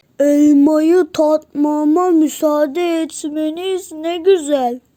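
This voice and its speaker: At a very slow pace, a woman uses a put-on character voice pitched high. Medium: read story. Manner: cheerful, naive.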